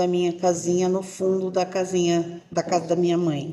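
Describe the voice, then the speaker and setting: Fairly low pitch and a dark, mellow tone from a female speaker. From São Paulo, Brazil. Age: 60s. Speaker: parishioner. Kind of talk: casual interview chat. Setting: podcast recording.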